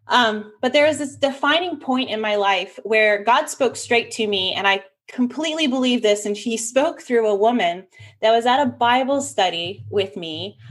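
A woman speaks in a normal speaking voice at a moderate pace. Her fairly high pitch carries lively intonation. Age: 30s. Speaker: business systems expert and online events manager. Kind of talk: casual chat.

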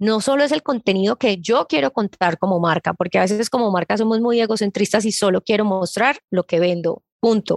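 A woman talks at a fairly quick pace in a normal speaking voice, with hardly any pauses, very even loudness and ordinary pitch variation. The sound is dry and close with no echo, over a quiet background. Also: medium pitch for a woman. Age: 30s. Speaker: digital marketing expert. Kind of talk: interview.

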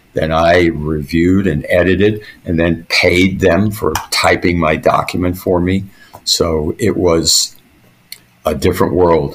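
Against noticeable background noise, a man with a very deep, low pitch speaks at a fairly slow pace, with fairly even intonation and very even loudness. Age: 70s. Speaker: retired army officer and historian. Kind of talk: casual interview. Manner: halting, many fillers.

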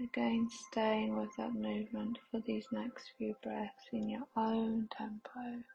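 Over noticeable background noise, a woman speaks at a very slow pace with hardly any pauses. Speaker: meditation guide. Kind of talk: guided meditation. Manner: slow, soothing, gentle pacing with long pauses; calm, soft-spoken, reassuring.

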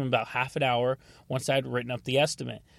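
This very clean recording with a silent background captures a man speaking at medium pitch. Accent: American. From North Carolina. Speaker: podcast host, auto damage appraiser. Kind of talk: casual podcast monologue with sponsor read.

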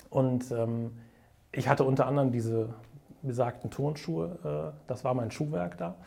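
A man speaks with a dark, mellow tone at medium pitch. His pace is moderate. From Bonn area, Swabian upbringing. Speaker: entrepreneur, event agency owner. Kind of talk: interview storytelling.

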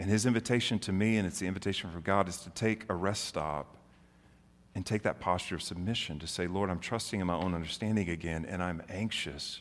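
Recorded very cleanly against a silent background, a man with an American accent and a very deep, low pitch talks at a fairly quick pace with fairly even intonation. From Oklahoma and Memphis, US South. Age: 40s. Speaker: pastor. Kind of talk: sermon.

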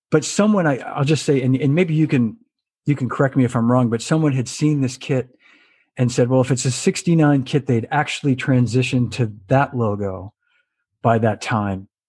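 A man speaks at a medium pitch in a somewhat breathy voice. His loudness stays very even. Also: ordinary pitch variation, moderate pace, quiet background. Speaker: drummer and show host. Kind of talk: casual interview chat. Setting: video call. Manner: jokey, friendly.

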